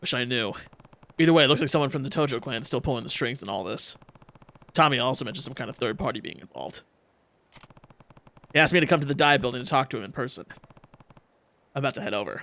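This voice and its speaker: A man's raspy put-on character voice, medium in pitch and very fast, with big swings in loudness, long, frequent pauses and sound effects in the background. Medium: game stream. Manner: steady, serious.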